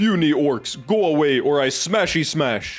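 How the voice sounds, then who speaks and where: Faint music plays behind a man doing a put-on character voice. His pitch is fairly high and his pace moderate. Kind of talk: broken simple speech. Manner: dumb brutish.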